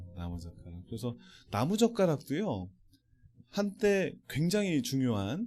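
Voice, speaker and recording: This recording is very clean, its background silent. The man's pitch swings very widely as he talks at a moderate pace. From South Korea, Gimje, North Jeolla. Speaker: business leader, invited speaker. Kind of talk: motivational seminar lecture.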